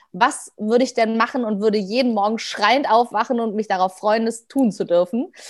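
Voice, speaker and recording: A normal speaking voice at a moderate pace. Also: woman. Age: 30s. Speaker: dancer and performer. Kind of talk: casual chat.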